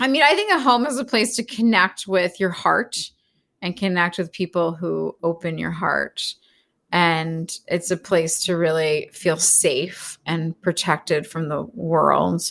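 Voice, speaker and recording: A woman with an American accent talks at a fairly slow pace, her fairly low pitch carrying vocal fry and lively intonation. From US Northeast, Philadelphia. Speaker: astrology and wellness entrepreneur. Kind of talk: casual interview chat.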